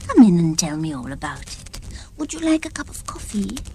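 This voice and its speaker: A woman's put-on character voice at medium pitch and a fairly quick pace, with clear background noise. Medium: read story. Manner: brisk, commanding.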